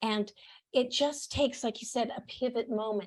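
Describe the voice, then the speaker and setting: A woman's fairly high voice comes across as somewhat breathy. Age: 60s. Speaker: podcast host and author, interview guest. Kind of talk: casual interview chat.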